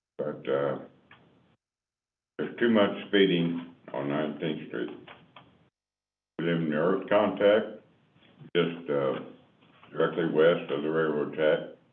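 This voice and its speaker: With long, frequent pauses, a man speaks at a fairly slow pace in a very deep, low pitch with ordinary pitch variation, and room echo can be heard. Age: 70s. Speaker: resident addressing city council. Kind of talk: public comment. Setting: city council meeting.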